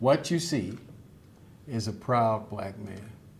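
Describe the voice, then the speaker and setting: The room echo is audible as a man talks at a very slow pace. His voice is somewhat breathy. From Chicago West Side, US. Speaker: lawyer and judge, association president. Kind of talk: inaugural speech. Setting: event with live and Zoom audience. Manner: formal.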